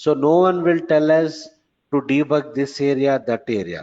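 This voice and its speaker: This man has an unremarkable speaking voice at a fairly high pitch. His pace is moderate and his pitch variation ordinary. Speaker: programming trainer. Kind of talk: lecture. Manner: repetitive.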